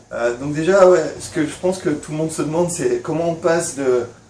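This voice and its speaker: Against noticeable background noise, a man speaks at a moderate pace with a fairly high pitch and fairly even intonation. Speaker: YouTuber and vape shop owner. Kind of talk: casual vlog and interview. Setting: at the guest's home.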